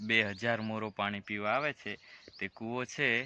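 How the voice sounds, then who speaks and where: Here a man speaks with a fairly low pitch. His tone is bright and sharp. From Gujarat, Chhota Udepur district. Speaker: travel vlogger. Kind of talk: walking vlog narration. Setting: outdoors, hillside jungle.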